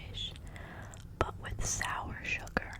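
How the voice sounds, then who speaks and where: Whispered words from a woman, with noticeable background noise. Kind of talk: ASMR fact reading while chewing gum. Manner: soft, intimate.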